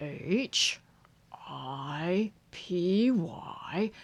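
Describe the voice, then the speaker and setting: A put-on character voice, female-sounding and at a middle pitch. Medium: read story. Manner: pompous, self-assured.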